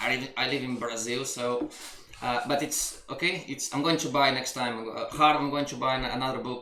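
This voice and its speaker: With a non-native accent, a man speaks at a medium pitch and moderate pace with fairly even intonation, amid audible room echo and noticeable background noise. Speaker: coach. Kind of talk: coaching session reading from a book. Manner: halting, with repetitions and restarts.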